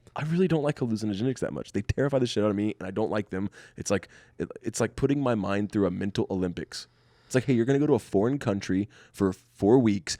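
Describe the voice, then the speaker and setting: A man talks at a very fast pace, his pitch fairly low and his tone dark and mellow. The sound is dry and close with no echo, over a quiet background. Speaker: comedian. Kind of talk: casual chat. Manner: monotone.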